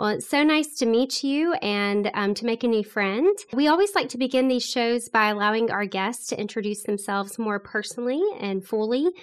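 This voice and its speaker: Against a quiet background, a woman in an unremarkable speaking voice talks at a moderate pace, with fairly high pitch and ordinary pitch variation. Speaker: podcast co-host. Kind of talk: casual interview.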